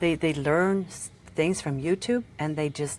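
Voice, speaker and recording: This woman speaks with a Norwegian accent. Her pitch is very deep and low, with ordinary variation. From Norway. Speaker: tattoo artist. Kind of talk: casual chat. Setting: podcast interview. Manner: halting.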